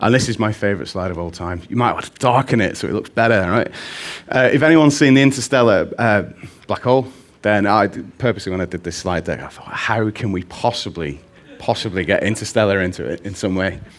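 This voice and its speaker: A man with a fairly low pitch talks at a very fast pace with lively intonation. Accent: Mancunian. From Manchester, northern England. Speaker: conference speaker, data visualization specialist. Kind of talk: conference talk.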